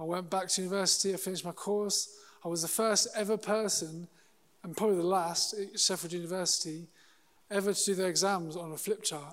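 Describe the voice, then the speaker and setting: A man talks at a fairly quick pace in a high pitch with monotone, flat intonation. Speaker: church staff member and school worker. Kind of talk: sermon. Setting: church with audience. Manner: humorous, chatty.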